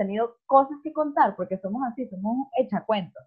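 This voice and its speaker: This woman's high voice moves with lively intonation. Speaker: podcast co-host. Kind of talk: casual chat.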